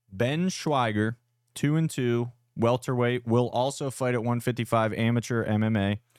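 On a very clean recording with a silent background, a man with a plain, everyday voice talks at medium pitch and a moderate pace with very even loudness. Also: ordinary pitch variation. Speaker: fight promotion podcast co-host. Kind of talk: casual chat.

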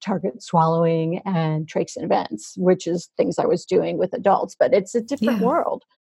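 This woman has a medium pitch and a dark, mellow tone that is somewhat breathy. Her intonation is lively. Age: 50s. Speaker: speech pathologist. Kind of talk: casual interview chat. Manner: halting, many fillers.

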